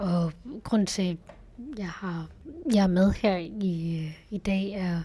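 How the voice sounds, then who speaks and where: Somewhat breathy and dark, mellow in tone, a woman's fairly low voice moves with fairly even intonation. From West Jutland, Denmark. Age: 20s. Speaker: university student. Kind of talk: interview testimony.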